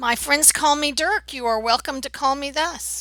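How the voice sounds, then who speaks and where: A woman does a put-on character voice, pitched high and raspy. She talks at a moderate pace. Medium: actual play. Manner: polite, guarded.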